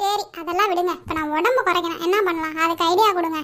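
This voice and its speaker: A woman uses a cartoonish character voice, squeaky and extremely high in pitch. She talks at a fairly quick pace with fairly even intonation. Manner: complaining, defensive.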